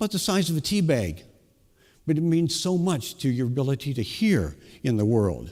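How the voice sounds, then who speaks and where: Very clean recording with a silent background: a fairly high-pitched man at a moderate pace, with very wide pitch swings. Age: 70s. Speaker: minister. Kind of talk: sermon.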